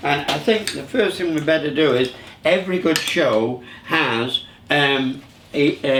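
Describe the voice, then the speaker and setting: In a Lancashire accent, a man with a fairly high pitch talks at a fairly slow pace with ordinary pitch variation. Noticeable background noise is present. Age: 70s. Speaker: show host, veteran entertainer. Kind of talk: casual chat. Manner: halting.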